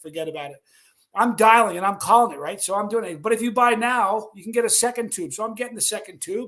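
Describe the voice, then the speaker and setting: With an American accent, a man talks at a very fast pace in a high pitch, his animated delivery carrying a bright, sharp tone and ordinary pitch variation. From New York. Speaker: livestream host. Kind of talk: casual livestream chat. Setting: live stream with chat.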